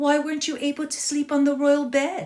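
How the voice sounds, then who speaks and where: A woman's put-on character voice, high-pitched, fairly quick, with monotone, flat intonation. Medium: read story.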